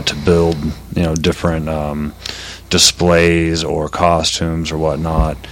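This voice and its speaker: Noticeable background noise sits under a flat, monotone delivery at a moderate pace. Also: man. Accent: American. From Oklahoma; Colorado. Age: 30s. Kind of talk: casual chat.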